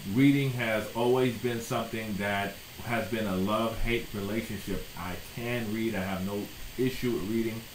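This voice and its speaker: A man with an American accent at medium pitch and a fairly slow pace, with audible room echo and noticeable background noise. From US South (South Florida). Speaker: educator, YouTuber. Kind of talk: casual talk to camera.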